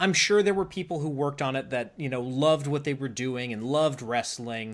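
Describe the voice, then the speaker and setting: A man's unremarkable speaking voice, pitched fairly high and showing ordinary pitch variation. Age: 20s. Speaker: podcast host and dungeon master. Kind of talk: casual interview chat.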